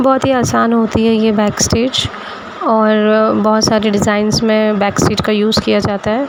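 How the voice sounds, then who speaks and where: Over noticeable background noise, a woman with a fairly high pitch speaks in a monotone, flat way with very even loudness. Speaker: embroidery tutorial creator. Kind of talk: tutorial. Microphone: phone mic, no external microphone.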